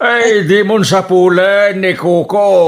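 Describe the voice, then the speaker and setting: A man puts on a character voice, pitched high and delivered very slowly. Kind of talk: comic radio drama acting. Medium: audio drama. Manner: whiny, complaining.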